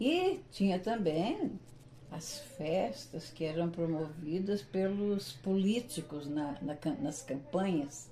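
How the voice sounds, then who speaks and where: A woman's very slow, somewhat breathy voice, fairly low in pitch, with a dark, mellow tone and lively intonation. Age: 70s. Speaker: retired teacher, local pioneer. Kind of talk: interview. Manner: hesitant, with fillers.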